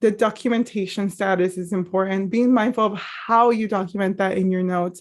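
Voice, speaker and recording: On a very clean recording with a silent background, a woman speaks at a fairly quick pace in a monotone, flat intonation. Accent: Spanish. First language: Spanish. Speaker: mental health professional. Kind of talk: training presentation. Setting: live stream.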